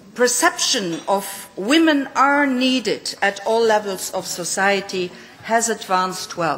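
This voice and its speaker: At a very slow pace, a woman speaks with lively intonation. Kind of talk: conference speech. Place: hall. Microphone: podium.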